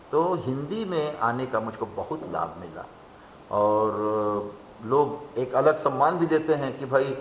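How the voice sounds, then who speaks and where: Noticeable noise fills the background. A man talks over it. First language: Bengali (speaking Hindi). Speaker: writer and poet. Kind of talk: interview.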